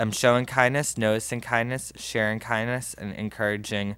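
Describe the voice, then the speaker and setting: A man's intonation stays fairly even. The sound is dry with no echo over a quiet background. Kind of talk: reading announcements at a meeting. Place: meeting room. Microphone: podium.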